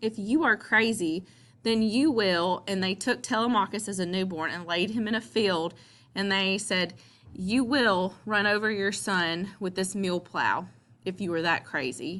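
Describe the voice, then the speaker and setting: A woman speaks in a Southern US accent with a bright, sharp tone at medium pitch. Her pitch varies in an ordinary way, and the background is quiet. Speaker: teacher. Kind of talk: lecture. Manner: casual, with many fillers.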